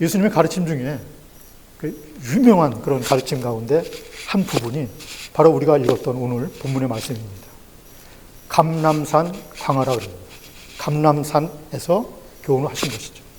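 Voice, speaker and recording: Speaking at a moderate pace with long, frequent pauses, a man uses lively intonation and a fairly high pitch, with audible room echo and noticeable background noise. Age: 60s. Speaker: pastor. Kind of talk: sermon.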